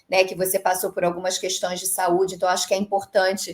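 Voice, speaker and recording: A woman with a Rio de Janeiro accent speaks at a medium pitch. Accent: carioca accent, noticeable. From Rio de Janeiro, Brazil. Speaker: creator economy consultant, former dentist. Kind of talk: interview conversation.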